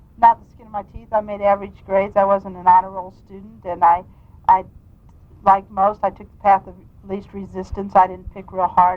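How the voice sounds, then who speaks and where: A woman with a Midwestern US accent talks at a fairly quick pace and medium pitch, her intonation monotone and flat while her loudness swings widely. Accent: US Midwest. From Kansas, Wichita. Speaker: state legislator. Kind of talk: oral history interview. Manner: halting.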